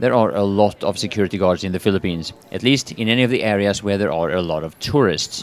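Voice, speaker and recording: Lively intonation at a very fast pace. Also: man. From Sweden. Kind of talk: travel vlog talk to camera.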